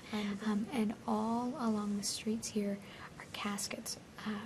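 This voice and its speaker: A fairly high-pitched woman's voice, flat and monotone, over noticeable background noise. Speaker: TV host. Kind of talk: TV history show presentation. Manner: quiet.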